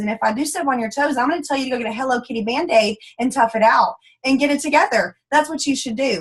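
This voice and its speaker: A woman's high-pitched, animated voice with a Texas accent and ordinary pitch variation. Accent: Texas Southern US. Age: 20s. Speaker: network marketing leader. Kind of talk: motivational training talk. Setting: conference call. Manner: fast.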